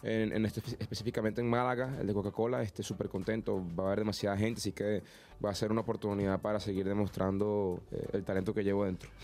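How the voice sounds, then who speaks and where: Very fast and with very even loudness, a man speaks at fairly low pitch in a monotone, flat intonation. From Venezuela. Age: 20s. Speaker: singer. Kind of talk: interview.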